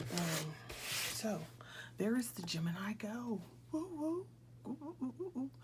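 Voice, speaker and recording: A woman speaks quietly and somewhat breathily. Her intonation is lively. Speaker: crafting YouTuber. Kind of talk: unboxing video. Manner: quiet, hushed; casual, chatty.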